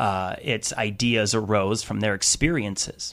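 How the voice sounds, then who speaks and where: On a very clean recording with a silent background, a man with an unremarkable speaking voice talks fairly slowly at a fairly low pitch. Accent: American. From US Midwest, Wisconsin. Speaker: teachers' union activist. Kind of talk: radio interview. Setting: radio studio.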